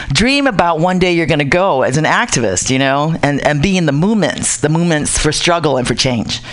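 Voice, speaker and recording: A woman with a fairly low pitch speaks at a fairly quick pace with very wide pitch swings and very even loudness, over noticeable background noise. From Pacific Islands. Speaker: Pacific Islander activist. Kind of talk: casual radio talk.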